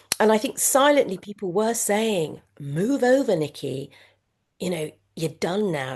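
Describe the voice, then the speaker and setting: A woman with a British accent and very wide pitch swings. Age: 60s. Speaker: former media executive, now supermarket worker. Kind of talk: interview conversation. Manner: halting, many fillers and repetitions.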